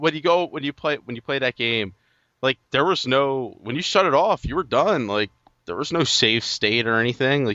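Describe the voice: Speaking with a New York accent, a man at medium pitch uses lively intonation and a moderate pace.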